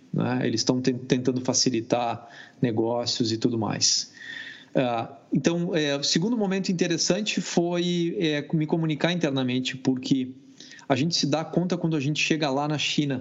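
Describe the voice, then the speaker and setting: Moderate pace and ordinary pitch variation from a man with a fairly high pitch. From Brazil. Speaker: cybersecurity product manager. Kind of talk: casual chat. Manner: halting.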